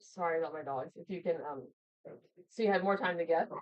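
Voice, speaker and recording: A woman's fairly low-pitched voice. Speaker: livestream host. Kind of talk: casual livestream chat. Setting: livestream from home with screenshare. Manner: loud, carrying voice; animated.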